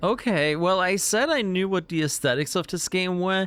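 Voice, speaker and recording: In a very clean recording with a silent background, a man with a German accent speaks at a fairly slow pace in a high pitch. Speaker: gaming streamer. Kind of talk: let's play commentary.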